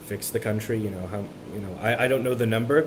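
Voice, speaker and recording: Over noticeable background noise, a man talks in a medium pitch with ordinary pitch variation. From Miami, Florida. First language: Spanish. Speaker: college student. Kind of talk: interview. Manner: halting, many repetitions.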